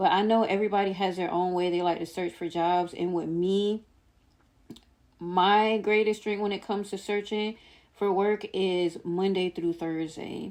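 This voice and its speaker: Against a quiet background, a woman at medium pitch talks at a moderate pace with monotone, flat intonation. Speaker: vlogger sharing personal journey. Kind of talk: casual vlog monologue. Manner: stumbling, self-described stuttering.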